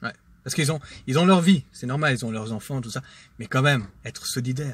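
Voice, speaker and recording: A man with a somewhat breathy voice speaks at a moderate pace, his medium pitch showing ordinary pitch variation. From Switzerland, Geneva. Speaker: vlogger. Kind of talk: casual monologue vlog. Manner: hesitant, many fillers.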